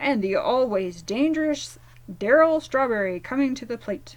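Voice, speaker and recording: A woman puts on a character voice at a high pitch. She keeps a moderate pace while her loudness swings widely. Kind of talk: sports play-by-play. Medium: read story.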